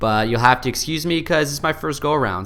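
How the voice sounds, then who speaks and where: With an American accent, a man talks in a bright, sharp tone with vocal fry. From US, upstate New York (Buffalo). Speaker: YouTuber, software reviewer. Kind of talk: casual screen-recorded tutorial. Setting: home apartment office. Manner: animated.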